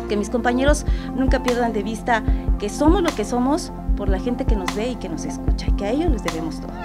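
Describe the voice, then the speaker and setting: Loud music plays in the background while the speaker talks at a fairly quick pace. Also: woman. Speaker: radio announcer. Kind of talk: interview answer. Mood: warm, grateful, enthusiastic. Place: studio.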